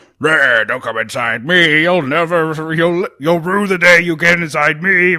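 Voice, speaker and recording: A man puts on a character voice with a menacing tone. He speaks in a high pitch at a fairly slow pace. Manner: silly, menacing.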